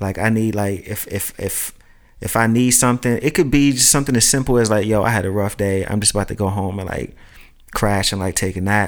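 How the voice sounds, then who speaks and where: A man with an American accent has a normal speaking voice, fairly low in pitch, with ordinary pitch variation. The recording is very clean, with a silent background. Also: fairly quick pace. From Brooklyn, New York (Red Hook). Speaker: friend in a conversation podcast. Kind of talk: casual chat.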